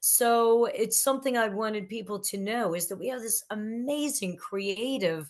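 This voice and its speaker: Against a quiet background, a woman has an unremarkable speaking voice, a fairly high pitch, ordinary pitch variation and a fairly slow pace. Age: 60s. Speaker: record promotion executive and author. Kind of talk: podcast interview.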